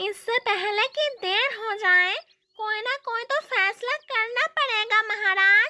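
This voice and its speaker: A cartoonish character voice, female-sounding and extremely high in pitch, at a fairly slow pace. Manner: earnest.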